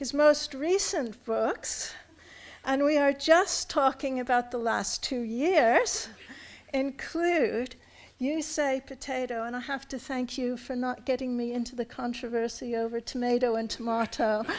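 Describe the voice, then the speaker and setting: Her voice is high, and this woman speaks at a fairly slow pace with an American accent and ordinary pitch variation. The recording is very clean, with a silent background. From United States. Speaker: university academic introducing speaker. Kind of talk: formal speaker introduction. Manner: formal.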